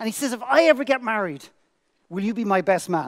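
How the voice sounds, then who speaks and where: A man with an Irish accent at a fairly quick pace against a quiet background. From Ireland. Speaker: motivational speaker. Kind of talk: keynote speech. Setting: stage with audience. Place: stage. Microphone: headset.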